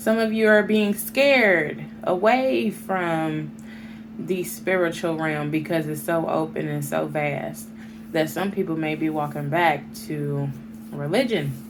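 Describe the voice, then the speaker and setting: At a very slow pace, the voice comes through with audible room echo and noticeable background noise. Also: woman. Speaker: tarot reader. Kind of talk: tarot reading to camera.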